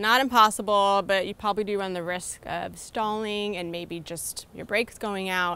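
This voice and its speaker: The recording is dry with no echo as a woman speaks at a moderate pace with fairly even intonation. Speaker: travel vlogger. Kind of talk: casual vlog chat. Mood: cheerful, laughing. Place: street. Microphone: phone near.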